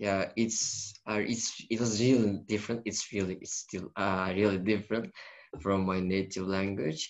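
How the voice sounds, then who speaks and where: Someone with a Turkish accent speaks at a fairly slow pace. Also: man. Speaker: university student. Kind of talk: casual chat. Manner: halting, many fillers.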